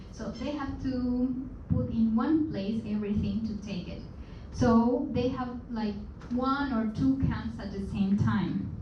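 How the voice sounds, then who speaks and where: A woman with a Peruvian accent speaks very slowly at a fairly high pitch with ordinary pitch variation, amid audible room echo and noticeable background noise. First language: Spanish. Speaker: guest speaker. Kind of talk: presentation to seminar audience. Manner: halting, with frequent fillers and repetitions.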